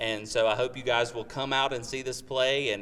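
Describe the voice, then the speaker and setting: The man here talks at a fairly quick pace. He has a medium pitch. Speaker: community theatre actor. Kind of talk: interview.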